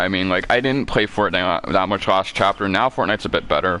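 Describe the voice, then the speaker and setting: Over music in the background, a man with a very deep, low voice talks at a moderate pace in an animated tone. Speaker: game streamer. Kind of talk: live gaming stream. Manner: casual, animated.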